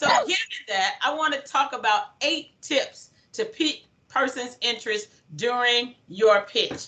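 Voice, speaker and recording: Energetic and high-pitched, a woman uses a raised, projected voice with a bright, sharp tone, very wide pitch swings and very even loudness, speaking at a fairly slow pace. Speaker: motivational speaker. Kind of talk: workshop presentation.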